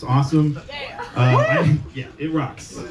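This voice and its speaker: A man with a somewhat breathy voice talks at a fairly slow pace with fairly even intonation. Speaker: stand-up comedian. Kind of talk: stand-up. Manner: halting.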